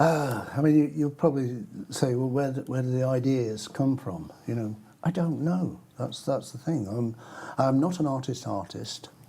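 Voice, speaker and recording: A man with an English accent at a moderate pace, with noticeable background noise. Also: medium pitch for a man, ordinary pitch variation. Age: 70s. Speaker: cartoonist. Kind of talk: interview.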